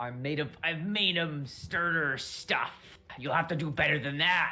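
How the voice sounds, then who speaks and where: A raspy, put-on character voice at middle pitch and a moderate pace. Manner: swaggering.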